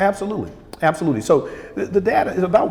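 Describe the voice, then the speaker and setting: With an American accent, a man talks while music sounds behind him. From southern Missouri, USA. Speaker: heart surgeon. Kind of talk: interview answer.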